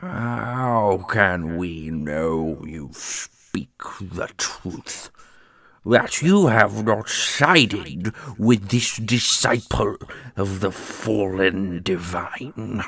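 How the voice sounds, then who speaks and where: A man uses a put-on character voice, fairly low in pitch. He speaks very slowly. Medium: audio drama. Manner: authoritative, cold.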